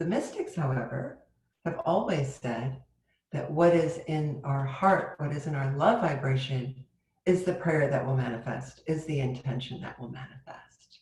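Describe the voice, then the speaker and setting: In audible room echo, a woman with a very deep, low pitch talks at a moderate pace, somewhat breathy, with ordinary pitch variation and big swings in loudness. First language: Turkish. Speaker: spiritual teacher. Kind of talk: sermon.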